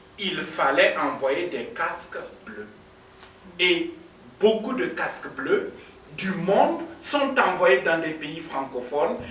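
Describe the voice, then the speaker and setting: With a Burkinabe accent, a man speaks at a very slow pace in a high voice, his pitch swinging very widely and his loudness rising and falling sharply, with long, frequent pauses, audible room echo and noticeable background noise. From Burkina Faso. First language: African languages (speaking French). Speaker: diplomat. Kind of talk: conference speech.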